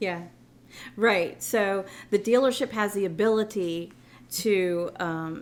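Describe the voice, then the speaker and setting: A woman at medium pitch talks with fairly even intonation. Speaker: car dealership finance manager. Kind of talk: casual chat. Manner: halting.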